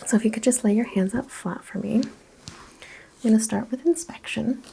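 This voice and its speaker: The voice is soft-spoken, with ordinary pitch variation. It moves at a moderate pace. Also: woman, fairly high pitch for a woman. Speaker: holistic practitioner roleplay. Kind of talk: ASMR roleplay. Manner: soft-spoken, relaxing.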